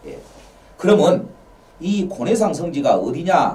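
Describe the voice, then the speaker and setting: Audible room echo and noticeable background noise accompany this man's voice. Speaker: local history lecturer. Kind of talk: lecture. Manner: fast.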